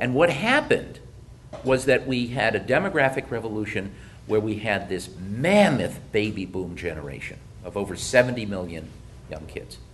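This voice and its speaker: A man with an American accent speaks at a moderate pace. His pitch is fairly low, his voice somewhat breathy and his intonation lively. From US Midwest (Detroit). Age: 60s. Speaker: economist presenter. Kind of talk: presentation.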